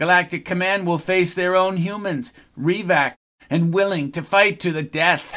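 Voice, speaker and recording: On a very clean recording with a silent background, a man does a put-on character voice, high in pitch, at a moderate pace. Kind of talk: formal, military.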